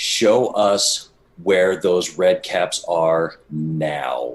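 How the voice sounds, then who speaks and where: A man growls in a put-on character voice, very deep and low in pitch, at a very slow pace. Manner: menacing, growling.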